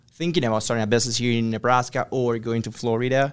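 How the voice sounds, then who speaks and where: Over a quiet background, a man speaks at a medium pitch with a Spanish accent. His intonation stays fairly even. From Ecuador. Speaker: business consultant. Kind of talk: interview. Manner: hesitant with fillers.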